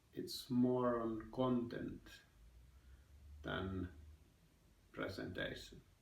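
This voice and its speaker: A man talks very slowly, his voice carrying audible echo from the room. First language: Finnish. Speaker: vlogger. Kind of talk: personal vlog monologue. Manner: halting, with fillers.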